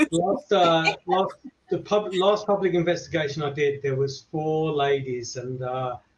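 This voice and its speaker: With an English accent, a man speaks at a fairly slow pace in a fairly high pitch, his pitch varying in an ordinary way. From England. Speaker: paranormal investigator. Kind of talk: casual chat.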